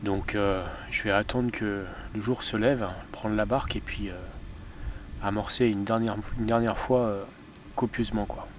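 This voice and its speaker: A soft-spoken man at a medium pitch, monotone and flat, at a moderate pace, with audible room echo. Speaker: fishing vlogger. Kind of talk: casual vlog narration. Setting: outdoors by a lake. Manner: hesitant, many fillers.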